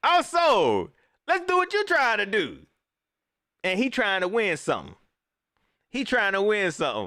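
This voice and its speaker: A man with a Carolinas accent, high pitch, and a bright, sharp, animated tone, making very wide pitch swings at a moderate pace with long, frequent pauses. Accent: US Southern, Carolinas. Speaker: sports livestream host. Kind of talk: casual live stream commentary reading chat. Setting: live stream. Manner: animated, repetitive.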